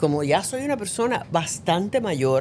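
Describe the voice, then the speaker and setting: In a Cuban accent, a woman talks at a fairly slow pace with very wide pitch swings. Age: 70s. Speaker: actress. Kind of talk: casual chat.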